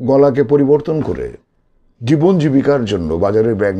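The speaker is a man. His tone is dark and mellow. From Bangladesh. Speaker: voice actor. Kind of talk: interview answer. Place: home room. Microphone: phone near.

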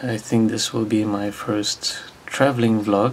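Fairly low male voice at a fairly slow pace, with fairly even intonation and light background noise. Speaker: vlogger. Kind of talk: casual vlog chat. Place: home room. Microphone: webcam.

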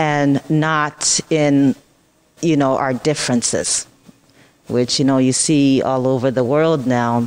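Slow-paced and flat, a woman with a very deep, low pitch speaks in a monotone, leaving long, frequent pauses. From Ghana. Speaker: cosmetics business owner. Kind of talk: interview answer. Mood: calm, reflective. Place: cafe. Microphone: handheld.

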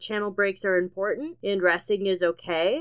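Fairly even intonation marks a normal speaking voice. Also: woman. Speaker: animator. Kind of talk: casual year-in-review narration.

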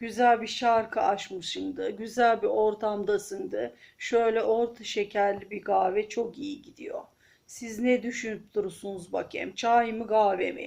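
Speaking at a very slow pace, a woman with a fairly high pitch shows big swings in loudness and ordinary pitch variation. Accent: Aegean. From Aegean region of Turkey. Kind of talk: casual talk to camera. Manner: chatty, friendly.

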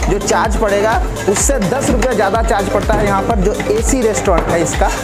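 With loud music in the background, a man talks at a fairly slow pace. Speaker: food vlogger. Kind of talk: casual vlog chat. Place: shop. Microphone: lapel.

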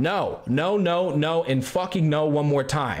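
A man's voice against a quiet background. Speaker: streamer commentator. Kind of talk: commentary reacting to a post. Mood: exasperated, opinionated. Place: home room.

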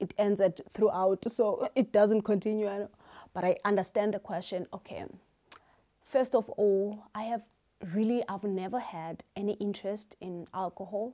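A woman speaks at a moderate pace in a dark, mellow tone with big swings in loudness. The background is quiet. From South Africa, Eastern Cape. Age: 30s. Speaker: YouTuber and beauty salon owner. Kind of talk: casual Q&A vlog. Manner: animated, energetic. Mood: cheerful, animated. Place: home room. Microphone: lapel.

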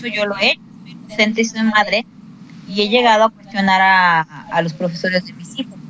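A woman with fairly high pitch at a moderate pace, amid noticeable background noise. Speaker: schoolteacher. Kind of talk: interview. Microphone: cheap headphones, sound problems.

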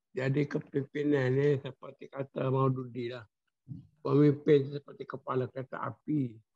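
A man speaks at a fairly slow pace and medium pitch, somewhat breathy with a dark, mellow tone, monotone, flat intonation and big swings in loudness, over a quiet background. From Malaysia. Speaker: study circle participant; religious text teacher. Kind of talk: discussion. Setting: video call. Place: home room. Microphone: video call.

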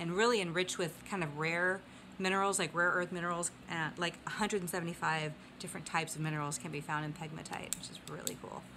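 Amid noticeable background noise, a woman talks at a fairly quick pace with a fairly low pitch and a bright, sharp tone. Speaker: geology vlogger. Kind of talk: casual educational vlog. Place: home room. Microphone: phone near.

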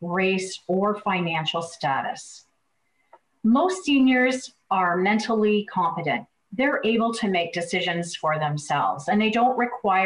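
Her delivery moves at a fairly slow pace. This woman's voice has a somewhat breathy sound. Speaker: presenter. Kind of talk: lecture. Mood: calm, earnest teaching. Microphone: webcam.

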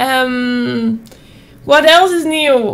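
A woman speaks with a Dutch accent. Her intonation is lively. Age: 20s. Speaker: streamer. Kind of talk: casual vlog talk. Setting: at home desk with webcam. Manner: animated. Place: home room. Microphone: studio mic.

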